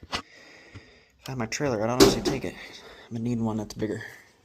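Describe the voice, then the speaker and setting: The speaker is a man with a medium pitch. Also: long, frequent pauses. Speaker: urban explorer vlogger. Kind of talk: exploration vlog narration. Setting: indoors, abandoned building.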